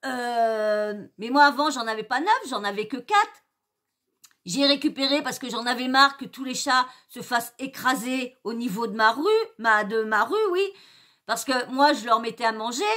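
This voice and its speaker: In a quiet background, a woman speaks fairly slowly at a high pitch with a bright, sharp tone, ordinary pitch variation and big swings in loudness. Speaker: youtuber. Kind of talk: angry rant, indignant story-time vent about a hurtful comment; casual chat. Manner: agitated, indignant, emphatic; rambling, hesitant, many fillers and repetitions. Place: home room. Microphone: webcam.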